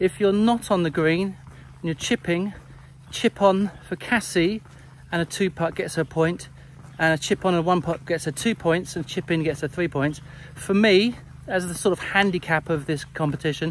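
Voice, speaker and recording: A man talks at a moderate pace in a high pitch with ordinary pitch variation. The sound is dry with no echo, over light background noise. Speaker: golf coach. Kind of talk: casual vlog explanation. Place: open country. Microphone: phone near.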